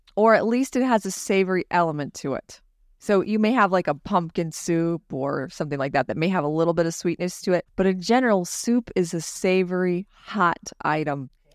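With an unremarkable speaking voice, a woman talks at a fairly quick pace in a fairly low pitch with lively intonation, recorded very cleanly with a silent background and a dry, close sound with no echo. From California. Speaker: business owner. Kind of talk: casual chat.

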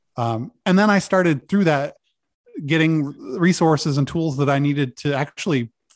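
An ordinary speaking voice moves at a moderate pace with ordinary pitch variation. The recording is very clean with a silent background. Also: man. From US Northeast (Maine). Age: 40s. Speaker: cancer patient and support group founder. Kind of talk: podcast interview.

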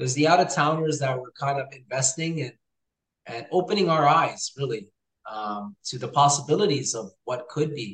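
With an Ontario accent, a man speaks at a moderate pace in a fairly high voice, his loudness swinging widely. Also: ordinary pitch variation. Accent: Canadian (Ontario). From Hamilton, Ontario, Canada. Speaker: realtor and real estate investor. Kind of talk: casual interview chat.

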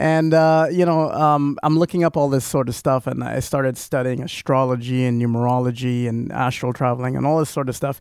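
At a fairly quick pace with hardly any pauses, a man talks with a medium pitch and fairly even intonation. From Trinidad. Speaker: youth ministry leader. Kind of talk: testimony. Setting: studio.

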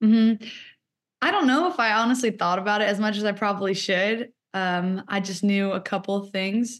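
A woman speaks at a moderate pace with medium pitch and fairly even intonation, an unremarkable speaking voice. The background is quiet. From Seattle, US Pacific Northwest. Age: 20s. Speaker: college soccer and basketball athlete. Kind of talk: interview.

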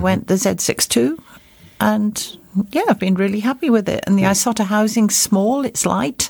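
A woman's pitch varies in an ordinary way while noticeable background noise carries on behind her. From Wales, near Swansea. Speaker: scuba diver and underwater photographer. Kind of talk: casual chat. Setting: studio.

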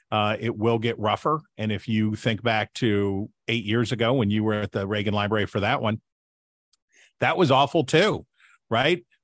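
In an unremarkable speaking voice, a man talks at a moderate pace with a fairly low pitch and ordinary pitch variation. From West Virginia. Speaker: political commentator and author. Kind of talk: interview.

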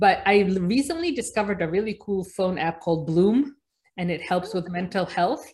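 A woman with an American accent speaks at a moderate pace and medium pitch. Her voice is somewhat breathy, with ordinary pitch variation. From Egypt, raised mainly in New Jersey. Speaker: pediatrician. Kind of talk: interview.

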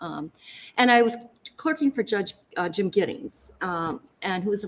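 With a Michigan accent, a woman speaks at a moderate pace in a medium pitch, her intonation lively. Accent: Michigan, general American. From Lansing, Michigan. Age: 60s. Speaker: county prosecutor. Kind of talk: casual interview.

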